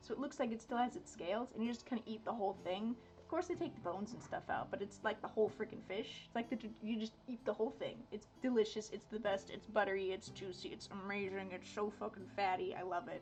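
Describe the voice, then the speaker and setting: A woman's fairly high voice at a very fast pace with hardly any pauses, ordinary pitch variation, and noticeable background noise. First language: Dutch. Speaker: art streamer. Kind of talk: casual chat. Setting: live stream.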